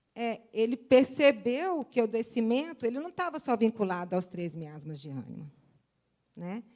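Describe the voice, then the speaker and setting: Keeping a moderate pace, a woman talks with big swings in loudness and very wide pitch swings. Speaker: seminar speaker on homeopathy. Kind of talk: lecture.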